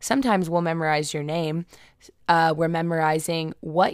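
A woman speaks with an American accent. The recording is very clean with a silent background. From Indianapolis, Indiana, US Midwest. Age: 20s. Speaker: podcast host and blogger. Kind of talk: casual personal monologue. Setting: alone in her room.

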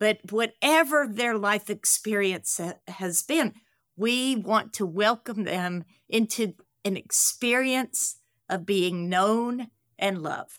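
With a Southern US accent, a woman speaks at a very slow pace in a fairly high pitch with ordinary pitch variation, in a very clean recording with a silent background. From US South, Carolinas. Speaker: nonprofit co-founder.

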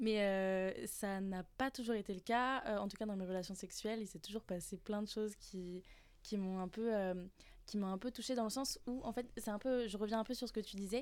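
This is an unremarkable speaking voice at a moderate pace with fairly even intonation. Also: woman, fairly high pitch for a woman. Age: 20s. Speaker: internal communications work-study trainee. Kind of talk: casual round-table chat.

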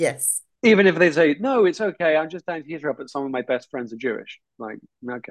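A man with a British accent speaks with very wide pitch swings and big swings in loudness. The sound is dry and close, with no echo. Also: fairly high pitch for a man. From southern England. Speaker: filmmaker and educator. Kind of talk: interview.

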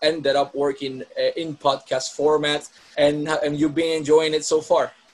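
Noticeable background noise sits behind a man's voice. He talks at a moderate pace and fairly high pitch, with fairly even intonation. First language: Spanish. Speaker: wrestling podcast host. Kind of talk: interview.

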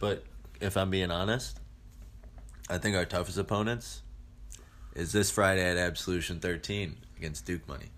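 With long, frequent pauses, a man speaks at a moderate pace in a very deep voice with vocal fry and ordinary pitch variation. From Ohio, Cleveland suburbs. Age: 20s. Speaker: professional wrestler. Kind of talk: casual interview.

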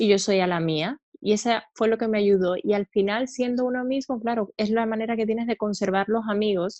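A woman at fairly high pitch and a fairly quick pace, with fairly even intonation, a dry, close sound with no echo, and a quiet background. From Cuba, outside Havana. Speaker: aesthetic medicine doctor. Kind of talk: interview.

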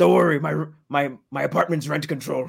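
A man's put-on character voice, raspy and fairly high-pitched, at a moderate pace.

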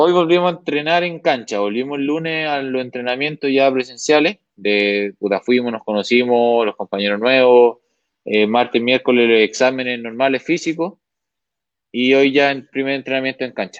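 In a dry, close sound with no echo, a man with an unremarkable speaking voice talks at medium pitch and a moderate pace, with ordinary pitch variation. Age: 20s. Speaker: professional football goalkeeper. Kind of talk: interview.

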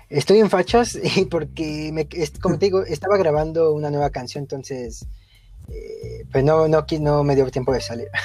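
There is noticeable background noise behind this speaker. He is a man with a Mexican accent, talking at a moderate pace. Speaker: podcast co-host, student. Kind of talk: casual chat.

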